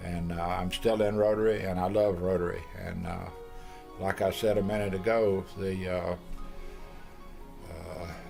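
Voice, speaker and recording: In a Tennessee accent, a man speaks at a very deep, low pitch and a fairly slow pace, with long, frequent pauses. His intonation is monotone and flat, and music plays in the background. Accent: Southern US (Tennessee). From Middle Tennessee, USA. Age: old. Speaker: retired businessman. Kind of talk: interview answer.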